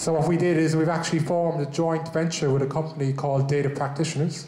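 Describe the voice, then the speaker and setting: A man with an Irish accent and a fairly high pitch, talking at a fairly quick pace in a flat monotone, with noticeable background noise and audible room echo. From Ireland. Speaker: business owner, event host. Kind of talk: event presentation.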